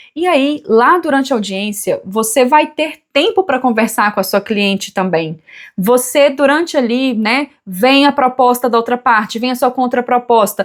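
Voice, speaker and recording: Lively intonation at a fairly slow pace with hardly any pauses, on a very clean recording with a silent background. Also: woman, high pitch for a woman. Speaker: family lawyer. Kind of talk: tutorial.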